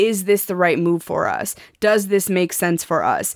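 At a moderate pace, a woman with a medium pitch has an unremarkable speaking voice. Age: 30s. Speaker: sex coach, podcast co-host. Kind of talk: casual chat.

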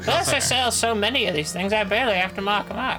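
Loud background noise surrounds a put-on character voice. It runs at a very fast pace with a fairly high pitch. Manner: dry, blunt.

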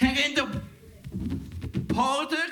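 A man is speaking. His voice is raised and projected. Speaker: comedian and emcee. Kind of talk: stand-up. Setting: stage with audience.

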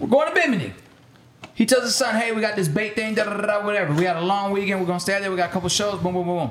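Amid noticeable background noise and audible room echo, a man speaks very fast at a high pitch with ordinary pitch variation. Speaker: music producer. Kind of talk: casual chat.

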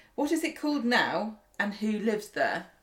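This voice belongs to a woman. It has a somewhat breathy sound. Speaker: podcast co-host. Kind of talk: casual chat.

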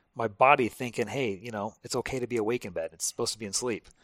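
Recorded very cleanly with a silent background and a dry, close sound with no echo, a man talks very fast with fairly even intonation. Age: 40s. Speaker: firefighter. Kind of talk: casual chat. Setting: at his home.

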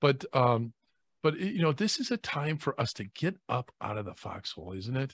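The recording is very clean and silent behind a man who speaks at a moderate pace, somewhat breathy, with a dry, close sound and no echo. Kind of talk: prayer and casual chat.

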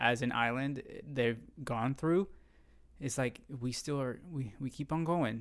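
A man with a Puerto Rican accent speaks very slowly at a medium pitch. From Puerto Rico, raised in San Juan. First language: Spanish. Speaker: guest. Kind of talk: casual chat. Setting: studio.

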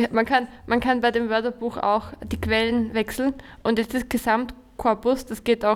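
Her pitch is fairly high for a woman, and her intonation is monotone and flat. She speaks at a fairly slow pace. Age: 20s. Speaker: teacher, podcast co-host. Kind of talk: casual chat.

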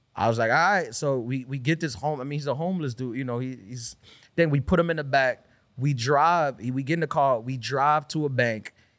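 A man speaks at a fairly quick pace with a New York accent. The recording is very clean, with a silent background. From Queens, New York. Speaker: comedian. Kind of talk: casual chat.

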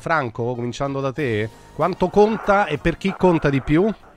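Over music in the background, a man talks at a moderate pace with a fairly high pitch. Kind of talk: sports talk radio. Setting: studio.

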